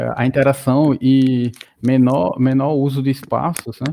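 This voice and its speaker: Over a quiet background, a man of medium pitch speaks fairly slowly with a dark, mellow tone. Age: 30s. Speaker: mechatronics engineer and gamification researcher. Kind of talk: casual interview chat. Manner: halting, many repetitions and fillers.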